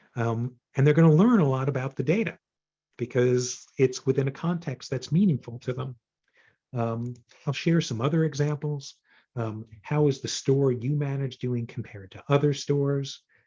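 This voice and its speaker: The voice has a dark, mellow tone and is somewhat breathy. The background is quiet. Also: man, fairly high pitch for a man, ordinary pitch variation, moderate pace. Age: 60s. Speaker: data visualization consultant and author. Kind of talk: presentation to user group. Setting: video call. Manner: hesitant, many fillers.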